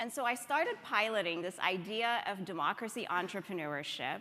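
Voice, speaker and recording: A woman speaks at a moderate pace with an American accent and lively intonation. Hers is a normal speaking voice at medium pitch. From Ethiopia. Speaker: democracy organization leader. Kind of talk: conference talk.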